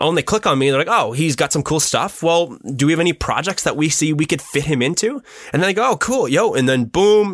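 Against noticeable background noise, a man talks at a very fast pace and a high pitch, with lively intonation and very even loudness. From Ontario, Canada. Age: 20s. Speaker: photographer and filmmaker. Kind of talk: casual chat.

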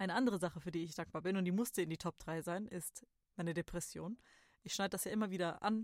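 Very fast and with ordinary pitch variation, a woman with a fairly low voice speaks on a very clean recording with a silent background. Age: 30s. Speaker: podcast host. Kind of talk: solo reflective monologue.

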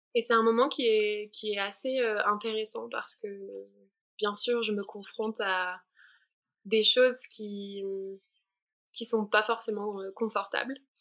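Very slowly and with long, frequent pauses, a woman speaks in a fairly high, monotone, flat voice. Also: very clean recording, silent background. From southern France, Alpes-Maritimes. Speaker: spiritual traveler, mantra singer. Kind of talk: podcast interview. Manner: halting, many repetitions.

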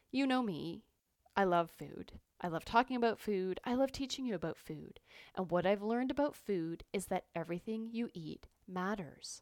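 A woman with a Canadian accent speaks at a medium pitch and moderate pace with lively intonation, recorded very cleanly over a silent background. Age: 50s. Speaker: podcast host and cancer support coach. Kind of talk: casual monologue. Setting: recording from a vacation in Costa Rica.

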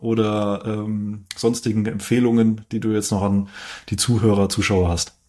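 A man with a fairly low pitch and a dark, mellow tone speaks at a fairly slow pace. The recording is very clean, the background silent. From Heidelberg area, southwest Germany. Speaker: finance video host. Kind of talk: interview.

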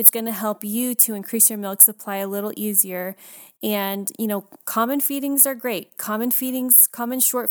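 A woman with an unremarkable speaking voice, fairly high-pitched, at a moderate pace, in a dry, close sound with no echo on a very clean recording with a silent background. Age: 30s. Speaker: doula and podcast host. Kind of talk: casual chat. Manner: casual, many fillers.

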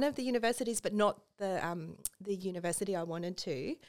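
This woman speaks with an Australian accent at a medium pitch. Her pitch variation is ordinary, and the recording is very clean with a silent background. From rural Australia. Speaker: estate planning lawyer and business owner. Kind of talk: casual interview. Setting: podcast studio.

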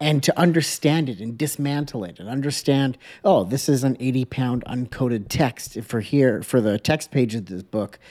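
A man speaks at medium pitch and a moderate pace, with a dark, mellow tone and ordinary pitch variation. His loudness swings widely on a very clean recording with a silent background. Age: 30s. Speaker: podcast host and print design educator. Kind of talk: casual interview chat.

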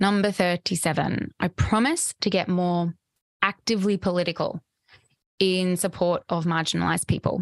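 A woman's medium-pitched, warm-toned voice at a moderate pace, with fairly even intonation, very even loudness, and a dry, close sound with no echo over a quiet background. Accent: Australian. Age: 30s. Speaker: podcast host, psychotherapist and embodiment coach. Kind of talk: reflective solo monologue. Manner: warm, frequent laughter.

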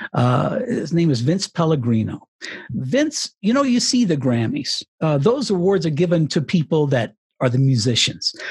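Very wide pitch swings at a very even loudness. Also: man, fairly high pitch for a man, moderate pace. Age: 60s. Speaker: retired radio broadcaster and author. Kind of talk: interview.

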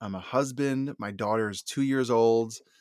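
With an unremarkable speaking voice at medium pitch, a man talks at a moderate pace with ordinary pitch variation in a very clean recording with a silent background and a dry, close sound with no echo. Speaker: therapist and podcaster. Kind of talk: casual interview chat.

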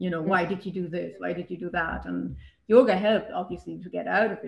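A woman speaks at medium pitch. Vocal fry runs through her voice. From Germany. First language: German. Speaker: yoga teacher and local political candidate. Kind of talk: casual interview. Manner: halting, many repetitions.

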